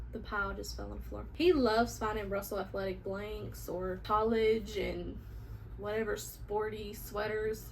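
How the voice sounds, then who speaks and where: A woman speaks at a moderate pace with big swings in loudness, her voice carrying audible room echo. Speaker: vlogger and vintage reseller. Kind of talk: casual haul video. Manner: animated.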